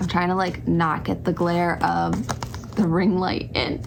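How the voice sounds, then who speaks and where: A woman talks at medium pitch. Noticeable background noise and audible room echo surround her. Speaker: tarot reader and witchcraft vlogger. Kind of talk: casual vlog talk to camera. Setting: home filming with ring light.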